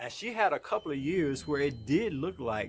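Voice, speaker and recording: A man talks at a moderate pace. His pitch is fairly high, with vocal fry. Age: 60s. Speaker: motivational vlogger. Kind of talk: motivational monologue. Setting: outdoors in his yard. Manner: animated.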